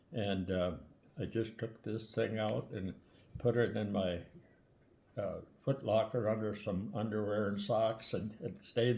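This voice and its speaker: A man with a fairly low pitch and a somewhat breathy voice speaks at a fairly slow pace with ordinary pitch variation. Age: 90s. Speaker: army veteran. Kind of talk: storytelling. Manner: halting.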